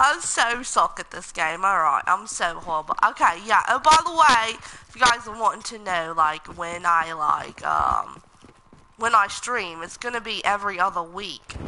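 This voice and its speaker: Against noticeable background noise, a woman of medium pitch speaks at a moderate pace, her loudness swinging widely. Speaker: gamer streamer. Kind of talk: live gameplay commentary. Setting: live stream. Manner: animated.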